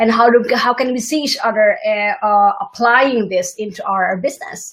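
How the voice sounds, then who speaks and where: Speaking with a non-native accent, a woman talks at a moderate pace with lively intonation. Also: fairly high pitch for a woman. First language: not English. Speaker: interview host and entrepreneur. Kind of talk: interview. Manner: halting, many restarts.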